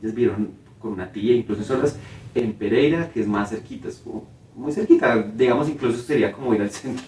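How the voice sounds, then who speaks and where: A man at a medium pitch, talking at a fairly quick pace with ordinary pitch variation and big swings in loudness, over noticeable background noise. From Colombia, Cartago, Valle del Cauca (coffee region). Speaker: theatre director and playwright. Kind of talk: interview.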